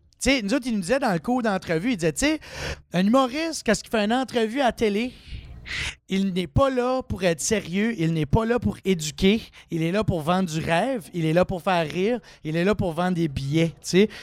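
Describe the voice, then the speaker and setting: A man's high-pitched voice at a fairly quick pace. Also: lively intonation. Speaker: comedian. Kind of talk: casual chat.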